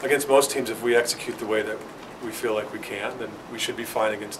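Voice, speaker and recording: A man speaks at a very fast pace with noticeable background noise behind him. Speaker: volleyball head coach. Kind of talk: interview answer. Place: meeting room. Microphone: phone near.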